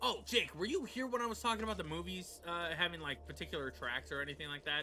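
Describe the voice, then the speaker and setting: Background noise is clearly noticeable here. Over it, a man speaks very rapidly. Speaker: gaming streamer. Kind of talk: live gameplay commentary. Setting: livestream. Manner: loud; casual, hesitant with fillers.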